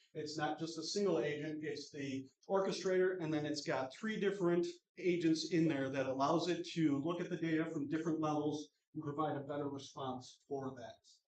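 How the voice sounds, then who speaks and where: Fairly even intonation holds as the speech runs at a fairly quick pace. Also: man, fairly high pitch for a man. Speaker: conference speaker giving a tech demo. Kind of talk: live demo talk. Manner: fast.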